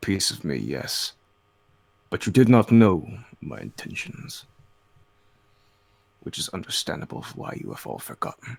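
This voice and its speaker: In a put-on character voice, a man talks at a fairly low pitch, leaving long, frequent pauses. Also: moderate pace. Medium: actual play. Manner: grandiose, solemn.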